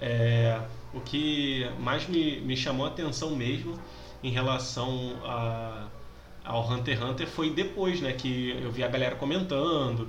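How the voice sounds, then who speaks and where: A man's medium-pitched voice with lively intonation at a fairly slow pace, amid noticeable background noise and audible room echo. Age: 20s. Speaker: podcast host, teacher. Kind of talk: casual chat.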